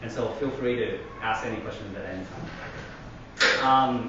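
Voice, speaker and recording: The speaker has a Taiwanese-American accent. Noticeable background noise and audible room echo fill the recording. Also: man. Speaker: parenting workshop speaker. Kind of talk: workshop talk. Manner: animated.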